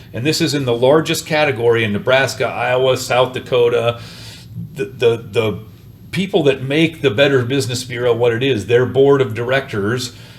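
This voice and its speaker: Noticeable background noise sits behind this man's voice. He speaks at a moderate pace. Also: medium pitch for a man, ordinary pitch variation. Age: 60s. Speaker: rent-to-own business owner. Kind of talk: interview. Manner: animated.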